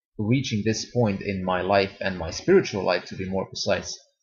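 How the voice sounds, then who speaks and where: This voice is somewhat breathy. It carries a Serbian accent. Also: man. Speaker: YouTuber. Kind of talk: testimony. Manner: halting.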